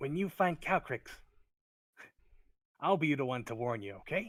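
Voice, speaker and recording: At a moderate pace, a man performs a put-on character voice with a fairly high pitch. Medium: actual play. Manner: eager, chatty.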